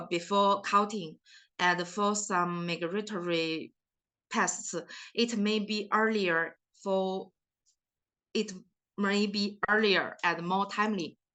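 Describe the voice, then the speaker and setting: A woman speaks very slowly in a bright, sharp tone with a non-native accent. Her intonation stays fairly even against a quiet background. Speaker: forest scientist. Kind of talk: research presentation.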